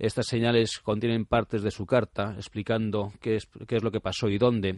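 A man speaks at a moderate pace with a fairly low pitch and monotone, flat intonation. The sound is dry and close with no echo, over a quiet background. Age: 40s. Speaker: writer and motorcycle traveller. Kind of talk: radio interview. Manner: halting.

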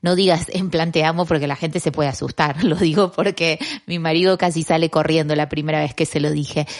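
A woman with a fairly low voice speaks at a moderate pace over a quiet background. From Argentina. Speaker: podcast host, communicator. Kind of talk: motivational podcast monologue.

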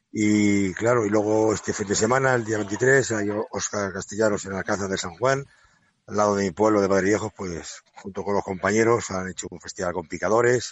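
The man talks at a moderate pace, his fairly low pitch moving in fairly even intonation. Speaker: retiring banderillero. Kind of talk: interview. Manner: halting.

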